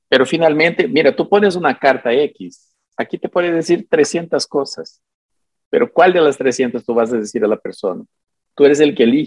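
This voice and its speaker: A man's fairly high-pitched voice at a moderate pace, with very wide pitch swings. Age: 50s. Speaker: psychic and self-styled prophet. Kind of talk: interview conversation.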